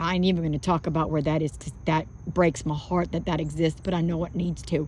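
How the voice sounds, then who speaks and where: Speaking with an American accent, a woman uses a very deep, low pitch, vocal fry and monotone, flat intonation. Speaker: spiritual vlogger. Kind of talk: casual monologue. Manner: halting.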